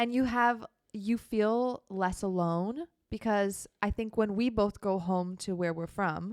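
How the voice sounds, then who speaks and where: In an American accent, a woman with a medium-pitched voice speaks very slowly, recorded dry and close with no echo. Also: ordinary pitch variation. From Minnesota, US Midwest. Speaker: podcast co-host, solo traveler. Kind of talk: casual chat.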